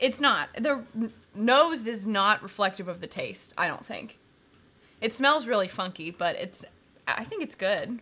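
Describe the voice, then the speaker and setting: A woman with a bright, sharp tone speaks at a fairly slow pace, leaving long, frequent pauses. Her loudness swings widely. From Kentucky. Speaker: bourbon channel co-host. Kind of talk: casual live-stream tasting chat. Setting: live stream. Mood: relaxed, friendly. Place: home room.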